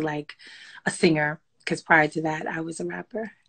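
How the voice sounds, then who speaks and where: An unremarkable speaking voice with an American accent moves at a moderate pace with fairly even intonation. The background is quiet. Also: woman. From Brooklyn, New York and Trinidad; Brooklyn. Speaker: songwriter and singer; interviewee. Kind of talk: casual interview. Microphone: phone near.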